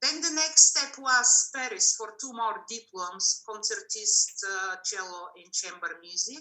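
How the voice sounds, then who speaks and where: With a Bulgarian accent, a woman talks at a fairly slow pace with hardly any pauses, a fairly high pitch, a bright, sharp tone, lively intonation and big swings in loudness. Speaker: cellist. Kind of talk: interview.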